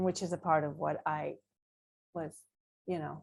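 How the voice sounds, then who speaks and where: A woman speaks with a strong Israeli accent. Her intonation is monotone and flat. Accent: Israeli accent, thicker now. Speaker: author. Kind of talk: panel discussion. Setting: video call.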